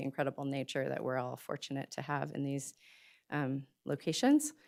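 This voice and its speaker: In a very clean recording with a silent background, a woman speaks with fairly even intonation. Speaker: arts and culture nonprofit presenter. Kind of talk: public meeting presentation. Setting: public meeting in boardroom. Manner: fast; hesitant with many fillers.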